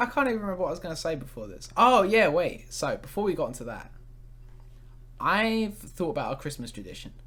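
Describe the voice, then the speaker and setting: In a southern English accent, the speaker goes at a very fast pace with big swings in loudness. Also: man. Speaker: podcast host. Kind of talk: casual chat.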